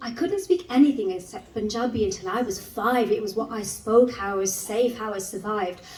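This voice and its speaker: A woman speaks at a medium pitch, with audible echo from the room. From English West Midlands, Wolverhampton area. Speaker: spoken word poet. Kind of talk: spoken word performance. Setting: stage with audience. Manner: conversational, with fillers.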